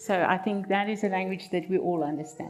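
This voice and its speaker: A woman talks at a moderate pace with a South African accent. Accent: Afrikaans South African English. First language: Afrikaans. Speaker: marriage counselor. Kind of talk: seminar talk.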